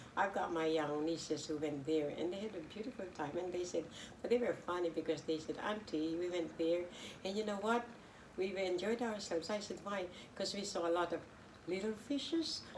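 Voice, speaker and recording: A woman's fairly low voice at a fairly quick pace, with ordinary pitch variation, over noticeable background noise. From Philippines. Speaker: local councillor and lawyer. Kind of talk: interview.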